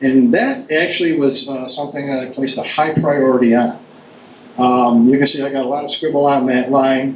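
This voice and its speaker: A man's voice comes through with audible room echo. Noticeable background noise sits behind it. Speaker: town board official. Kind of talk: public meeting remarks. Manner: fast; halting, many fillers.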